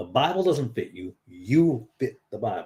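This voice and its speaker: Using vocal fry and a dark, mellow tone, a man speaks at a fairly slow pace with very wide pitch swings. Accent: American. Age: 50s. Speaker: lay preacher. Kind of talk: informal exhortation to online viewers. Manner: halting, many repetitions and fillers.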